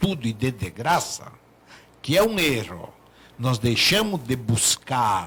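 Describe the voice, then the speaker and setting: Pitched medium, a man's voice swings very widely in pitch. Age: 70s. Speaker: doctor. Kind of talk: talk show discussion.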